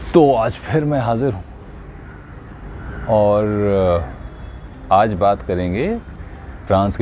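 Music plays behind a man with lively intonation. He leaves long, frequent pauses. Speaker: voice artist. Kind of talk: motivational storytelling.

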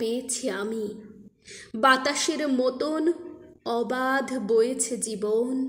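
Her intonation is fairly even. The woman's pitch is high. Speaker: poetry reciter. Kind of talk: poetry reading. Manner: soft-spoken.

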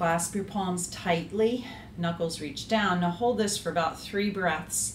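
In a calm tone, a woman talks at a fairly slow pace with a fairly low pitch and ordinary pitch variation, audible room echo and light background noise around her. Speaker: yoga instructor. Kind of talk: guided yoga class with step-by-step cues. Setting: home video workout. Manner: calm, instructive, steady pacing. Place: home room. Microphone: camera far.

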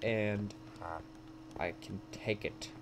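A man speaks at a very slow pace and a fairly low pitch. His intonation stays fairly even.

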